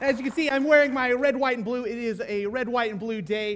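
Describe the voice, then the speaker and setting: A man speaks loudly in an animated tone. His pitch is extremely high. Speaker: pastor. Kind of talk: sermon.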